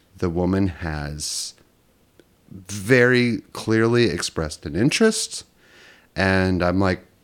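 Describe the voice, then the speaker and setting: A man speaks at a very deep, low pitch with ordinary pitch variation. His speech has long, frequent pauses. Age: 40s. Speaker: podcast guest. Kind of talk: casual chat. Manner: halting.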